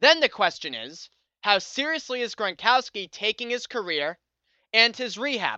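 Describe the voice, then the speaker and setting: With an American accent, a man talks at a high pitch using lively intonation. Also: moderate pace. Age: 20s. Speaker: sports podcast host. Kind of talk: solo sports commentary podcast.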